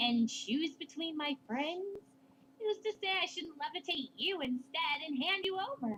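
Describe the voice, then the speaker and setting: An extremely high-pitched, female-sounding put-on character voice at a moderate pace. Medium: read story. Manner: polite, measured.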